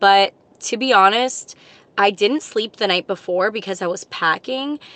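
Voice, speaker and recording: At a fairly slow pace, a woman speaks with a bright, sharp tone, fairly high pitch and fairly even intonation over a quiet background. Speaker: pro wrestler and vlogger. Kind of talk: casual vlog chat. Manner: casual, filler-heavy.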